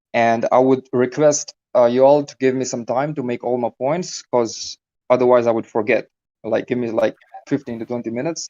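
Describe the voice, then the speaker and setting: A man's dark, mellow voice at a medium pitch, with a non-native accent, fairly even intonation and a moderate pace, in a dry, close sound with no echo. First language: not English. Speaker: caller arguing for God on a debate stream. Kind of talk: debate. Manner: hesitant, many fillers.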